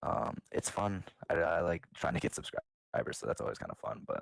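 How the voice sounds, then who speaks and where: The sound is dry and close with no echo. A man talks at a moderate pace. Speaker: podcast co-host. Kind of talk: casual chat. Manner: halting.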